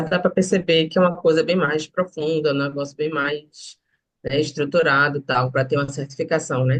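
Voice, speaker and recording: A woman with a Recife accent speaks at a moderate pace in a somewhat breathy voice. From Recife, northeast Brazil. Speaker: student asking a question. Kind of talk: live Q&A question. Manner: halting.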